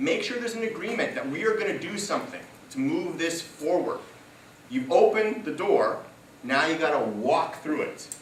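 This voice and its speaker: A man with a high voice speaks in an animated tone, his pitch swinging very widely at a moderate pace. The recording has noticeable background noise and audible room echo. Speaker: public speaker. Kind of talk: talk to a live audience.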